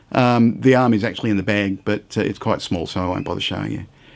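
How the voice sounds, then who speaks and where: The voice carries an Australian accent in a very clean recording with a silent background. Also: man. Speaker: scale model reviewer. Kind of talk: product unboxing and review. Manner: casual, hesitant with fillers.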